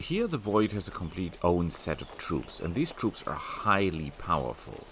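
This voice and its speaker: A man speaks at a fairly low pitch with hardly any pauses. Noticeable background noise is present. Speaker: gaming youtuber. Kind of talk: gameplay commentary. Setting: at home, family asleep. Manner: soft-spoken.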